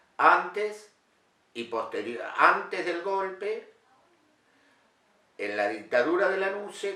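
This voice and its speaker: Over noticeable background noise, a man speaks at a very slow pace, with very wide pitch swings. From Argentina, Mar del Plata. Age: 60s. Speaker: carpenter and former political activist. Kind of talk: interview testimony. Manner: halting, many fillers.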